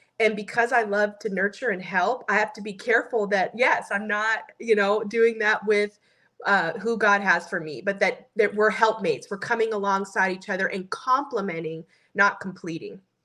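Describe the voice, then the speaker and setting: Here a woman talks at a moderate pace and medium pitch. Her intonation is fairly even. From Orange County, California. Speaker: business founder, postpartum doula. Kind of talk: interview answer.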